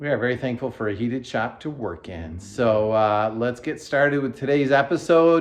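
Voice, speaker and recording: With hardly any pauses, a man with a plain, everyday voice talks at a moderate pace and medium pitch, his intonation lively over a quiet background. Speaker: car restoration video host. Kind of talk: casual chat. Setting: heated workshop.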